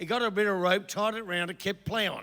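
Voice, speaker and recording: A man with a high pitch uses a raised, projected voice and a bright, sharp tone, speaking at a moderate pace with ordinary pitch variation. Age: 70s. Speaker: comedian. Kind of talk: stand-up. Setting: stage with audience. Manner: halting.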